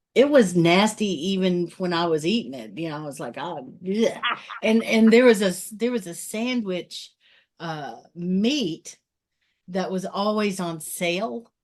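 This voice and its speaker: At a fairly slow pace, a woman in a normal speaking voice at medium pitch uses lively intonation and big swings in loudness. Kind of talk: casual podcast conversation.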